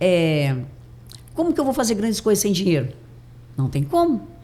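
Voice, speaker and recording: The woman's voice is somewhat breathy. Her tone is dark and mellow. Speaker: mindset and neuroscience coach. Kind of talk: podcast interview.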